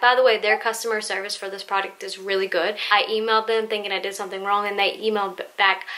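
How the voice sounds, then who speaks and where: At a fairly quick clip, a woman delivers her words. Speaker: home tutorial maker. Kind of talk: tutorial. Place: home room. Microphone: camera far.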